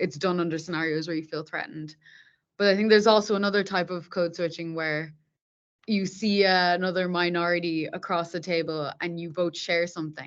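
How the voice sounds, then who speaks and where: Speaking in an Irish accent, a woman with a fairly low pitch talks at a fairly quick pace. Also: fairly even intonation, quiet background. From Ireland, Dublin. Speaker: software tech lead. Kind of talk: podcast interview.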